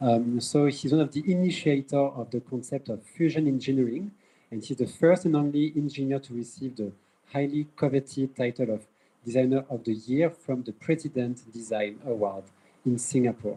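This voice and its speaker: Speaking at a moderate pace, a man with a French accent has a dark, mellow tone. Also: medium pitch for a man, ordinary pitch variation. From France. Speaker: event moderator. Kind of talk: event introduction speech. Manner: halting, many fillers and repetitions.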